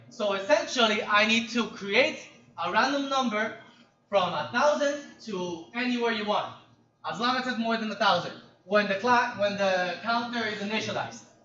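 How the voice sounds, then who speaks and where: With audible room echo, a man talks in a raised, projected voice that sits high in pitch and shows ordinary pitch variation. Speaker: programming instructor. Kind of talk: lecture. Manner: fast; casual.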